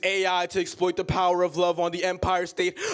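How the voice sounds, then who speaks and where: This man's voice sits high in pitch and moves at a fairly quick pace. Noticeable background noise runs underneath. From Queens, New York City. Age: young. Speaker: slam poet. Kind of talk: spoken word poetry slam performance. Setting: live stage performance.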